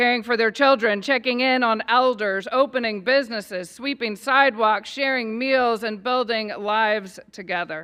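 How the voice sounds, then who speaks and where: A woman in an American accent, fairly high pitch, fairly even intonation, solemn tone and moderate pace. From Northern Ireland, near Belfast. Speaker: pastor. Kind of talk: prayer.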